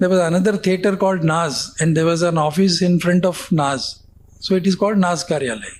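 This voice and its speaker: A man speaks at a fairly quick pace in a high pitch, his loudness very even and his pitch varying in an ordinary way. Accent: Tamil. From India. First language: Tamil. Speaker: former magazine editor. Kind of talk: interview storytelling. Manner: halting, with many fillers.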